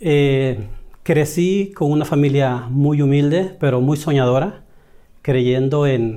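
Very slow and very even in loudness, a man speaks at a fairly high pitch in a dark, mellow tone. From El Salvador. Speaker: direct sales manager. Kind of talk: interview. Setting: office.

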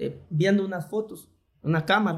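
A man with a Honduran accent. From Honduras, Tegucigalpa (born in Choluteca). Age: 40s. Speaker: politician, vice-mayor candidate. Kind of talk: podcast interview. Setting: studio in a clinic.

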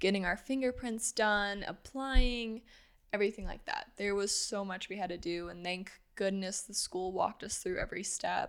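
A woman with a normal speaking voice and an American accent speaks at a medium pitch and a moderate pace, with fairly even intonation. The recording is very clean, with a silent background. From US Midwest, Granite City, Illinois. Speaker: former college swimmer, registered nurse. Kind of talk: casual interview.

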